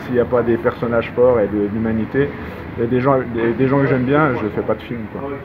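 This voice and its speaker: There is noticeable background noise as a man of medium pitch talks at a fairly quick pace. He has a strong Savoyard accent and monotone, flat intonation. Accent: strong regional Savoyard. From Savoie, France. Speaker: documentary filmmaker. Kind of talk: interview answer. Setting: Parisian café. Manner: gentle, calm tempo.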